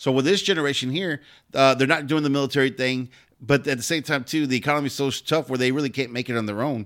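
A man with an American accent speaks very fast at a medium pitch, his intonation fairly even. The recording is very clean, with a silent background. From Pasadena, Texas. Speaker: podcast host and comedian. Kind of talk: casual chat.

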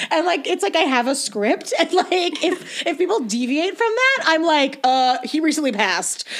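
A woman's extremely high voice with very wide pitch swings and very even loudness, at a moderate pace with hardly any pauses, over noticeable background noise. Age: 20s. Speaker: podcast guest. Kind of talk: casual chat.

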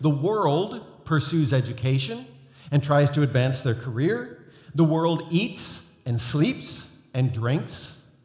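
Somewhat breathy and fairly high-pitched, a man speaks at a very slow pace amid audible room echo. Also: lively intonation. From North America. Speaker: guest preacher. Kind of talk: sermon. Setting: church.

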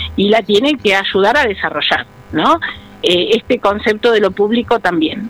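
Noticeable background noise sits behind a woman speaking at a moderate pace in a fairly high pitch, with lively intonation and very even loudness. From Argentina, Buenos Aires province (San Vicente). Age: 50s. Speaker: ceramics teacher and trainer. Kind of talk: radio interview.

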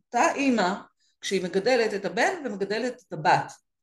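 A woman speaks at a moderate pace. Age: 50s. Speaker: career and business coach for women. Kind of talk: interview.

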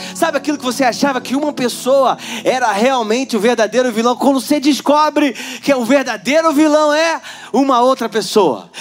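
This man talks at an extremely high pitch, and noticeable background noise can be heard. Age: 40s. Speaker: pastor. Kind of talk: sermon.

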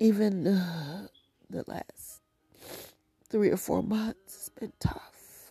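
In a dry, close sound with no echo, a woman with a somewhat breathy voice at a medium pitch speaks at a very slow pace with long, frequent pauses and ordinary pitch variation. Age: 50s. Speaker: prayer podcast host. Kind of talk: prayer; devotional monologue.

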